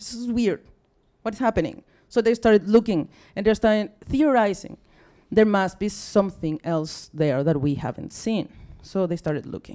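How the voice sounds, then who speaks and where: A woman with a Mexican accent talks at a moderate pace, her medium-pitched voice dark and mellow in tone. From Mexico. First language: Spanish. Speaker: astronomy outreach officer. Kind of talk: public science talk. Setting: stage with audience. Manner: halting.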